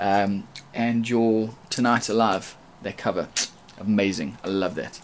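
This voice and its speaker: A man speaks at a medium pitch with a South African accent. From South Africa, Durban. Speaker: rapper. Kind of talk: audition video.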